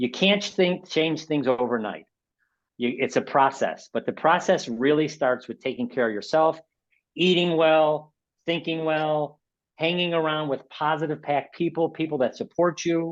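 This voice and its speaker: A man's fairly high voice with a Chicago accent, ordinary pitch variation, a moderate pace, and a quiet background. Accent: Chicago American. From Chicago, South Side. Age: 60s. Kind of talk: webinar talk. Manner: animated, repetitive self-corrections.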